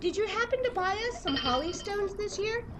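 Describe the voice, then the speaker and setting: A put-on, squeaky character voice, female-sounding and extremely high-pitched, at a fairly quick pace over clear background noise. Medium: audio drama. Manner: gracious, courteous.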